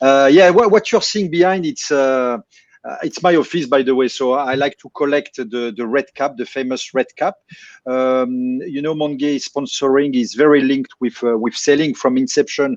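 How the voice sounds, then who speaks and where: At a moderate pace and with ordinary pitch variation, a man speaks in a dry, close sound with no echo. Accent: French. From France. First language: French. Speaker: distillery managing director. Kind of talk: live stream interview.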